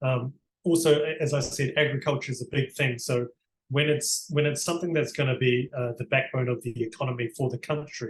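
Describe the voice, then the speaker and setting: The voice is somewhat breathy, with a New Zealand accent. It moves at a fairly quick pace with fairly even intonation. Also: man, medium pitch for a man. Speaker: barrister. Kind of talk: interview.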